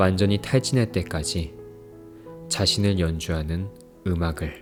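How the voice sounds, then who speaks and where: With music in the background, a man with a very deep, low pitch speaks very slowly with ordinary pitch variation. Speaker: book reviewer and poetry reader. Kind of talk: poetry reading.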